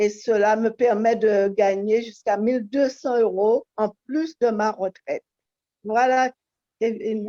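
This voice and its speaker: Speaking at a very slow pace, a woman with a fairly high pitch and a dark, mellow tone keeps her intonation fairly even and her loudness very even, in a dry, close sound with no echo. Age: 60s. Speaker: wellness coach. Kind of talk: testimony.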